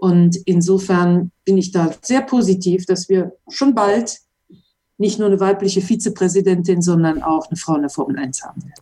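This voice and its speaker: This woman has a dark, mellow, somewhat breathy tone at medium pitch, with ordinary pitch variation. She keeps a moderate pace while her loudness swings widely. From western Germany, Mönchengladbach. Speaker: former racing driver. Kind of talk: interview.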